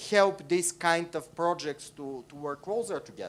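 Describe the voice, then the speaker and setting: The speaker has a Bulgarian accent. The pace is moderate. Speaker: audience member asking a question. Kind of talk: conference panel question. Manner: halting.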